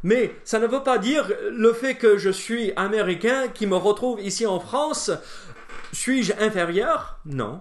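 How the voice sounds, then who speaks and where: A man with an American accent speaks with lively intonation. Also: quiet background. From United States. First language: English (speaking French). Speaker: pastor. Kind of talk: bible study teaching. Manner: hesitant, many fillers.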